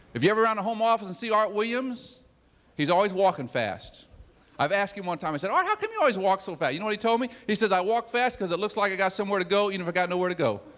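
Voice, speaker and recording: Over noticeable background noise, a man speaks at a very fast pace, his pitch high with ordinary variation. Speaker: business executive giving motivational talk. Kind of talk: motivational speech to sales audience. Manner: self-described laid back and quiet; repetitive, emphatic exhortation.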